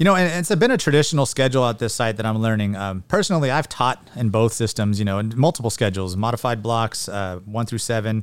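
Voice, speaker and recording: Talking at a very fast pace with hardly any pauses, a man with a Californian accent uses lively intonation at a medium pitch. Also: very clean recording, silent background. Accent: Californian American English. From California Central Valley (Porterville). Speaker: high school principal. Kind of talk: interview.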